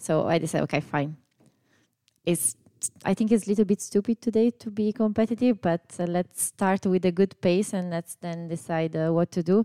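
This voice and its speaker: With an Italian accent, a woman at medium pitch speaks at a moderate pace, her tone dark and mellow and her pitch varying in an ordinary way. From Italy. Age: 30s. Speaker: amateur runner. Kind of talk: casual chat.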